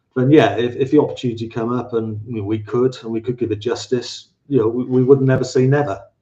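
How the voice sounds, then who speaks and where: A man with a Welsh accent speaks at a fairly quick pace in a monotone, flat intonation. His tone is dark and mellow and somewhat breathy. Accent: Welsh, slightly anglicised. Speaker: paranormal researcher. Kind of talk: live podcast interview. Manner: halting, many repetitions.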